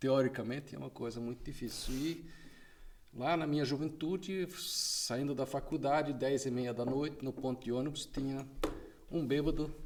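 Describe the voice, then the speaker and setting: His intonation stays fairly even as he talks at a moderate pace. The man's voice is fairly high-pitched. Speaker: drug policy association president. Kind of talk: podcast interview.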